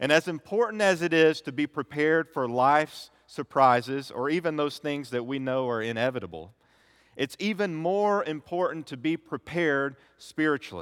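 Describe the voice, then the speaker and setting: Recorded very cleanly against a silent background, with a dry, close sound and no echo, a man speaks in a normal speaking voice at a fairly high pitch. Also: lively intonation, moderate pace. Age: 30s. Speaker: pastor. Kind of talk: sermon. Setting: church.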